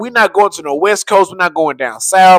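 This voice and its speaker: His tone is animated. The man's recording sounds dry and close, with no echo. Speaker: sports fan streamer. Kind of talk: live stream commentary. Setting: live stream. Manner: casual, animated.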